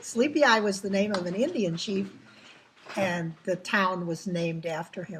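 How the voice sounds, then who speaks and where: A woman speaks in an American accent at a medium pitch with ordinary pitch variation. There is noticeable background noise. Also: moderate pace. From Minnesota, US Midwest. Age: 70s. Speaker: longtime resident, former teacher. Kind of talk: interview.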